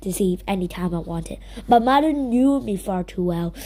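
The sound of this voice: With a dark, mellow tone and lively intonation, a woman speaks at a moderate pace.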